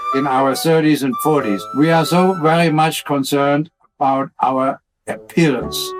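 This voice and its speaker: With music playing in the background, this man's fairly high pitch comes through at a moderate pace. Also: ordinary pitch variation, very even loudness. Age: 80s+. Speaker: nudist resort owner. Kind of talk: interview answer.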